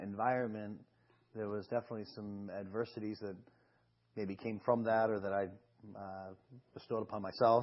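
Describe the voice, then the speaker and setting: A man speaks with a Boston accent at a moderate pace. His pitch sits in the medium range. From Boston, Massachusetts. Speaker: talk show guest. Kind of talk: interview. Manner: halting, many fillers.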